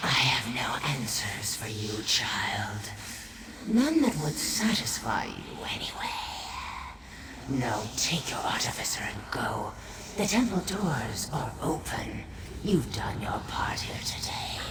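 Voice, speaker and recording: A put-on character voice in a whisper, under loud background noise. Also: fairly slow pace. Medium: game stream. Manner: silky, condescending.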